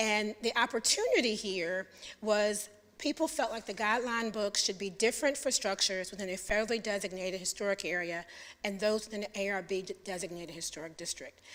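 A woman talks at a fairly quick pace in a normal speaking voice. Her pitch sits in the medium range, with ordinary variation. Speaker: city planning staff presenter. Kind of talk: presentation to a public commission. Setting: public meeting.

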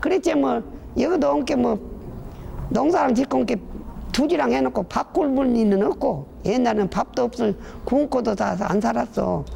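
In a Jeolla accent, the speaker moves at a moderate pace with long, frequent pauses, very wide pitch swings, and very even loudness over noticeable background noise. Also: woman, fairly high pitch for a woman. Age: 80s+. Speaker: rural elder interviewee. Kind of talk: casual interview.

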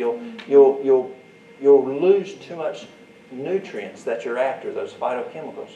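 Light background noise and audible room echo around a man with a Southern US accent at a moderate pace. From US Deep South. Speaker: herbal remedies teacher. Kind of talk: workshop demonstration. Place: hall.

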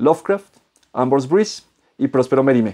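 Against a quiet background, a man speaks with lively intonation and a dark, mellow tone. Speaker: book reviewer. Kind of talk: book review vlog. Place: home room. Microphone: lapel.

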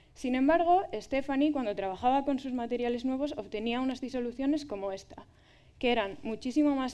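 Her voice high-pitched for a woman, a speaker talks with lively intonation and a dark, mellow tone. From Spain, Valladolid; Spain. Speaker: doctoral researcher in materials science. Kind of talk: public talk. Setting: stage with audience. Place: stage.

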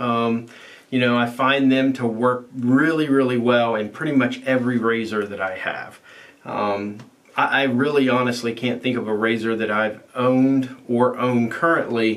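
A man speaks fairly slowly, his intonation fairly even. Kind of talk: casual product review vlog. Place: bathroom.

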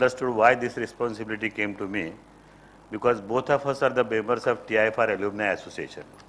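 Over light background noise, a man with a medium pitch speaks at a very fast pace with fairly even intonation. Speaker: event host introducing speaker. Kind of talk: formal introduction. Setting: stage with audience. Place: hall. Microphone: podium.

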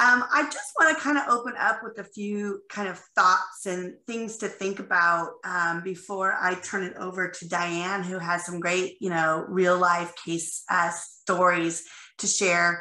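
With audible room echo, a woman speaks in a medium pitch at a fairly slow pace with hardly any pauses, ordinary pitch variation and big swings in loudness. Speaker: company CEO and workplace speaker. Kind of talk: conference presentation. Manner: frequent fillers (um, you know).

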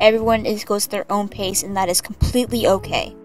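Over music in the background, a woman talks fairly quickly at a medium pitch. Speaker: digital artist and art commentary YouTuber. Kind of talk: casual commentary over speedpaint. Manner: stuttering, unscripted.

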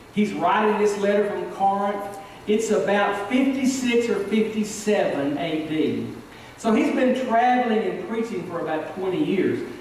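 A man with a high pitch and ordinary pitch variation speaks at a very slow pace. Strong room echo and light background noise are audible. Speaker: preacher. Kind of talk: sermon. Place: church.

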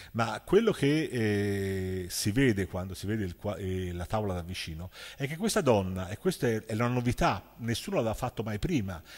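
Against a quiet background, a man talks at a moderate pace in a Florentine accent. His pitch swings very widely. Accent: Tuscan Italian (Florentine). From Florence, Italy; Tuscany, Italy. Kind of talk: lecture. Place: stage.

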